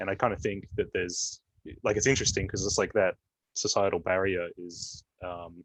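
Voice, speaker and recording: Recorded as a dry, close sound with no echo over a quiet background, a man with an Australian accent speaks at a moderate pace in a very deep, low pitch, with fairly even intonation and long, frequent pauses. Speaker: panelist, app developer. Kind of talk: panel discussion. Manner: hesitant, many fillers.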